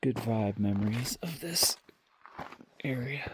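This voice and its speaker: Relaxed in tone, a man of medium pitch speaks at a fairly slow pace. Noticeable background noise is present. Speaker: hiker vlogger. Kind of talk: casual vlog narration while hiking. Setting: outdoors on a mountain trail at night. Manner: relaxed, hesitant with fillers; soft-spoken, quiet near campers.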